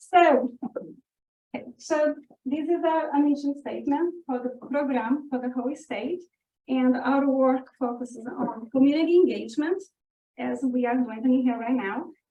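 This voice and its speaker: Speaking at a moderate pace, a woman with a high pitch uses ordinary pitch variation. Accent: non-native. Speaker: volunteer program staff. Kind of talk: presentation.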